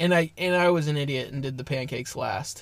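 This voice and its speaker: With an American accent, a man speaks at a moderate pace, using ordinary pitch variation and a plain, everyday voice. The recording is very clean, with a silent background. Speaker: podcast co-host. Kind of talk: casual chat.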